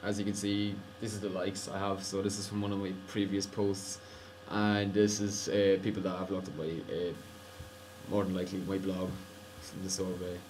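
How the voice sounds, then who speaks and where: Talking at a fairly quick pace yet with long, frequent pauses, a man with an Irish accent uses a fairly low pitch and monotone, flat intonation, with audible room echo and noticeable background noise. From Ireland. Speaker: college student. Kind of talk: screencast tutorial. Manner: casual.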